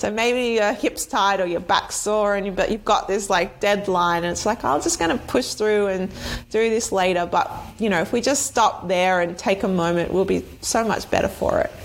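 A woman talks in an ordinary speaking voice. Medium in pitch, it shows ordinary pitch variation. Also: moderate pace, very even loudness. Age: 30s. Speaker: movement and fitness coach. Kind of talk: casual chat.

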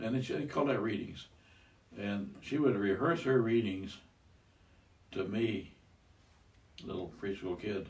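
Against audible room echo, a man with an American accent speaks at a fairly low pitch and a fairly slow pace, using lively intonation and leaving long, frequent pauses. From US Midwest, Iowa. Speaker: grandfather, retiree. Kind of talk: casual chat.

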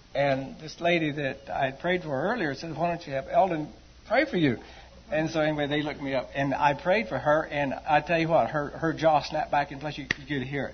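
Using a normal speaking voice, a man with a fairly high pitch talks at a fairly quick pace. His pitch variation is ordinary. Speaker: church member giving testimony. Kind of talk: testimony. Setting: church.

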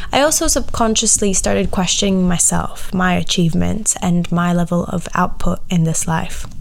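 The loudness stays very even throughout. There is audible room echo along with noticeable background noise. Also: woman, moderate pace. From Latvia. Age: 20s. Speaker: podcast host. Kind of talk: personal monologue.

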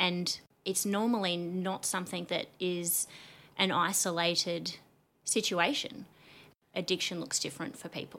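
On a very clean recording with a silent background, a woman with an Australian accent speaks fairly slowly in a fairly low pitch, with a bright, sharp tone and long, frequent pauses. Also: ordinary pitch variation. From Australia, New South Wales (Lithgow), then Queensland from 15. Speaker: psychosocial recovery coach and business owner. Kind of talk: casual interview chat.

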